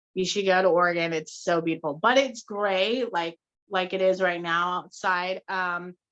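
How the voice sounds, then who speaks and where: This woman has an American accent and a medium pitch. She talks at a moderate pace with fairly even intonation. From Utah. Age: 30s. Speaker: podcast co-host. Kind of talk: casual chat. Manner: talkative.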